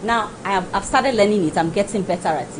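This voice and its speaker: A woman talks at a very fast pace, her pitch medium and her tone animated. Noticeable background noise runs behind her. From Nigeria, Lagos. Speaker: guest. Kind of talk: talk show discussion.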